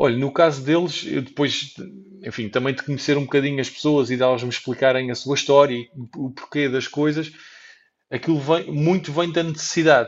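Fairly high in pitch, a man with an unremarkable speaking voice talks at a moderate pace with fairly even intonation. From Portugal. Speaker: traveller and entrepreneur. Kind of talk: interview.

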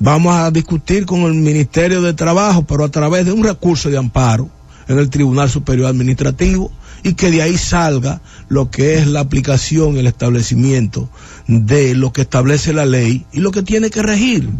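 Over music in the background, a man speaks at a fairly high pitch with ordinary pitch variation and very even loudness. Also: moderate pace. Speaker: radio host. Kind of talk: radio interview. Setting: studio.

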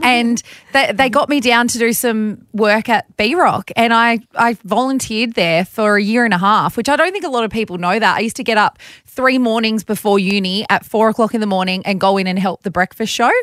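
On a very clean recording with a silent background, a woman speaks in an Australian accent at a fairly high pitch and fairly quick pace. The sound is dry and close with no echo, and her pitch variation is ordinary. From Bathurst, Australia. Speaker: radio breakfast host. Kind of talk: casual interview chat.

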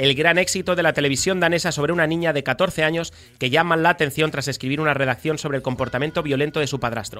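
In a bright, sharp tone, the voice races at a very fast pace with hardly any pauses and fairly even intonation. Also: man, fairly high pitch for a man. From Spain, Badalona (Catalonia). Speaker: radio host. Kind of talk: radio talk show.

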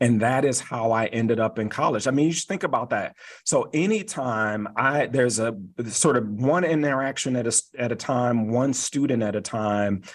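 The recording is very clean with a silent background. Pitch varies in an ordinary way. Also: man. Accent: American. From US Midwest, Detroit. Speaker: university chancellor. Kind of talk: radio interview. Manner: halting, with repeated words.

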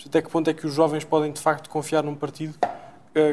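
Flat, monotone intonation carries a dark, mellow tone. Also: man. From Portugal, Cascais. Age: 20s. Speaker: university student. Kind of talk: interview questions. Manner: halting.

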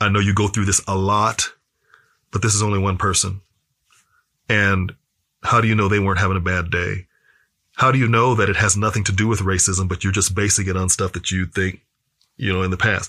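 An American accent at a fairly quick pace, monotone and flat, bright and sharp in tone, very even in loudness, with long, frequent pauses. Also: man, fairly low pitch for a man, very clean recording, silent background. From US Midwest, Kansas City. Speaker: speaker and activist. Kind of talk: interview conversation.

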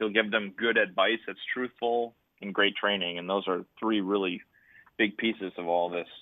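This man has a normal speaking voice with a fairly low pitch. He talks at a moderate pace with fairly even intonation. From Marinette, northern Wisconsin. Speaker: baseball academy founder, former pro player. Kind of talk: radio interview.

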